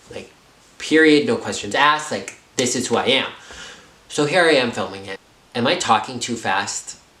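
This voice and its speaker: The speaker, with an American accent, swings very widely in pitch and leaves long, frequent pauses, while noticeable noise sits in the background. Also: man, medium pitch for a man. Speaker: YouTuber telling a story. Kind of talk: casual storytime vlog. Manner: fast.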